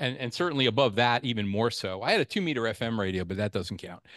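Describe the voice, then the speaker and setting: A man speaks in a normal speaking voice, medium in pitch with ordinary pitch variation. The sound is dry and close with no echo, over a quiet background. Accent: American. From New York, Long Island. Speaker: amateur radio presenter, chemist. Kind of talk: club presentation talk. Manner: casual, with frequent fillers.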